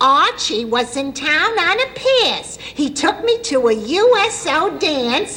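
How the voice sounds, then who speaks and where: In a put-on character voice, a woman speaks with an extremely high pitch and very wide pitch swings at a fairly slow pace with hardly any pauses, over clear background noise. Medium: short film. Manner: sweet, earnest.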